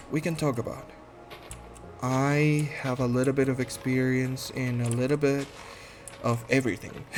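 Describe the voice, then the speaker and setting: Music plays in the background. A man speaks at a medium pitch and moderate pace, with ordinary pitch variation. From Guatemala. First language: Spanish. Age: 30s. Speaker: podcast host, medical assistant. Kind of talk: casual monologue introduction. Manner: halting, many fillers.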